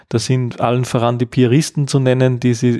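A man speaks at a medium pitch in a dark, mellow tone. The sound is dry and close with no echo, on a very clean recording with a silent background. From Upper Austria. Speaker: education researcher. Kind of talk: interview.

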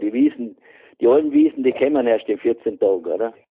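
A man talks with a Vorarlberg accent. He keeps a moderate pace. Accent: Vorarlberg Alemannic German. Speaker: retired beekeeper. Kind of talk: casual chat.

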